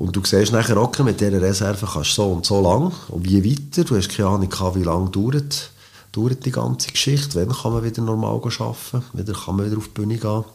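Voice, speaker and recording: Somewhat breathy, a man speaks at a fairly quick pace with lively intonation. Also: fairly low pitch for a man. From Switzerland, Biel. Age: 50s. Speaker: boogie-woogie pianist. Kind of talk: interview.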